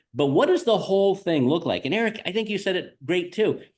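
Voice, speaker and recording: The voice carries vocal fry at a very fast pace. The background is quiet. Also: man. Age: 60s. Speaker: real estate agent and podcast host. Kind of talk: podcast conversation.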